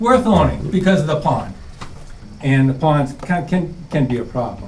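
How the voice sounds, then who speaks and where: A man speaks at a fairly high pitch with very wide pitch swings. Noticeable background noise and audible room echo fill the recording. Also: moderate pace. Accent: American. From New England, central Massachusetts. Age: 60s. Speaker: resident. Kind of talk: public meeting testimony. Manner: halting.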